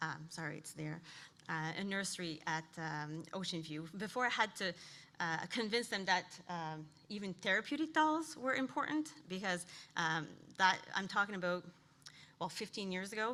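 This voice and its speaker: Shaky and bright, a woman's sharp-toned voice sits at a medium pitch. She moves at a moderate pace with lively intonation. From New Brunswick, Canada. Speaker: occupational therapist. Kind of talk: conference presentation. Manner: shaky, nervous voice; halting, many fillers.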